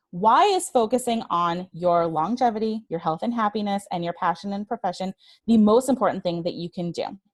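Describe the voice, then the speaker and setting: A woman with an unremarkable speaking voice talks at a fairly quick pace, at a medium pitch with ordinary pitch variation. The sound is dry and close, with no echo. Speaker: certified trainer and webinar speaker. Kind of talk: webinar presentation; guided breathing exercise. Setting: online webinar.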